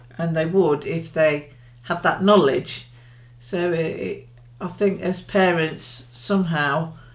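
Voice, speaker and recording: The speaker talks at a very slow pace in an English accent. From England. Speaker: parent in interview. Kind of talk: interview. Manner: halting.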